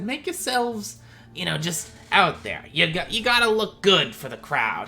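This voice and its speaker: The speaker uses a put-on character voice at a middle pitch and a moderate pace. Clear background noise sits behind it. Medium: actual play.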